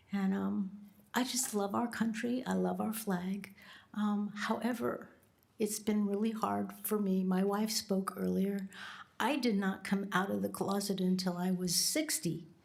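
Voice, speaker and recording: A woman's medium-pitched, somewhat breathy voice, fairly slow, with very even loudness and ordinary pitch variation. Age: 70s. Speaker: public commenter, retired minister. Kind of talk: public comment at government meeting. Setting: county board meeting chamber.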